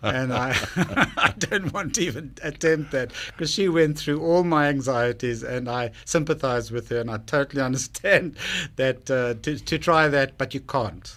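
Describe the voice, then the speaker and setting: At a moderate pace, a man with a South African accent talks at a medium pitch with ordinary pitch variation. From South Africa, Cape Town. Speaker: business owner pitching on TV show, radio guest. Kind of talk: radio interview.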